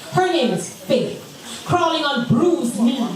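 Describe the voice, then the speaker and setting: Over noticeable background noise, a woman speaks with very wide pitch swings. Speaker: spoken word poet. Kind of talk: live spoken word poetry performance.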